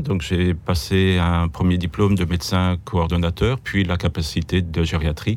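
Fairly slow and even in intonation, a man speaks with a very deep, low pitch. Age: 60s. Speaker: geriatric doctor. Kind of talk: interview. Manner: halting, repeats words.

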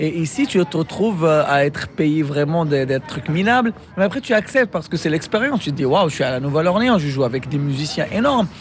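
Over noticeable background noise, the voice moves at a fairly quick pace with lively intonation. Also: man, fairly high pitch for a man, hardly any pauses. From Morocco. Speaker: musician and music teacher. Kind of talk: interview. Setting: hotel rooftop.

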